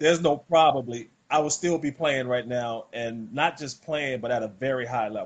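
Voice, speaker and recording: Speaking at a moderate pace, a man with an American accent uses a medium pitch and ordinary pitch variation. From US South, rural South Carolina. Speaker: former pro basketball player, wellness product seller. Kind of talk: casual interview, sales pitch.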